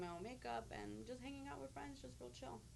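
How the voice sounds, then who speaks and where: The room lends an audible echo to this recording. The speaker is a woman with an American accent. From Chicago, US. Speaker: radio and TV personality. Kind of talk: interview. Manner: casual, filler-heavy.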